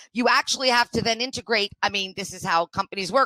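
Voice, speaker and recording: Loud and animated, a woman talks at a fairly quick pace with a bright, sharp tone and fairly high pitch. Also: dry, close sound with no echo. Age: 50s. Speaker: diversity and inclusion consultant. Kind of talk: podcast interview.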